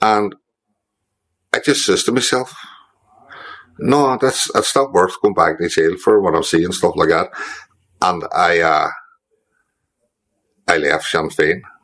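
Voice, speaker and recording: A man with a Northern Irish accent talks at a fairly slow pace, with long, frequent pauses. His loudness stays very even. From Derry, Northern Ireland. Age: 60s. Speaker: former IRA prisoner. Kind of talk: interview answer. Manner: casual, conversational.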